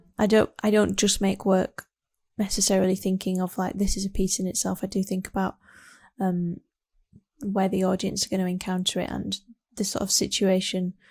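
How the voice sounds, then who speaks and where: A woman with a West Yorkshire accent speaks at a fairly quick pace and medium pitch, somewhat breathy and flat in a monotone, with long, frequent pauses. The sound is dry and close with no echo, on a very clean recording with a silent background. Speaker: artist. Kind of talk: artist talk about own work. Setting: home studio. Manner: hesitant, many fillers.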